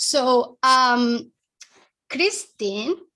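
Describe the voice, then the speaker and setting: A woman talks in a raised, projected voice with a strong Spanish accent. Her pitch sits high and her intonation is lively. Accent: heavy Spanish. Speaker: author and branding consultant. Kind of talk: interview. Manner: animated, talks at length.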